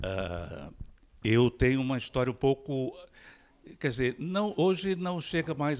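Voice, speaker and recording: Speaking at a fairly slow pace, a man makes very wide pitch swings in a very clean recording with a silent background. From Brazil, interior of Maranhão. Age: 60s. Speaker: writer and physician. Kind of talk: panel talk.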